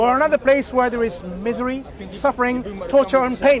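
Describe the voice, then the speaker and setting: Noticeable background noise is present. Over it, a man speaks at an extremely high pitch. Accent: non-native. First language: not English. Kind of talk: street dawah discussion.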